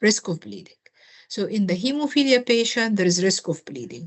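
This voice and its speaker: A woman speaks with lively intonation and a fairly high pitch. Her voice is somewhat breathy. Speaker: nursing tutor. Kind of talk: tutoring review session.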